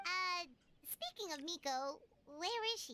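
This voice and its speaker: An extremely high, squeaky put-on character voice. It moves at a fairly slow pace. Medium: video game. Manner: chatty, casual.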